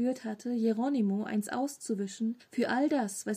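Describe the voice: Reading aloud, plainly done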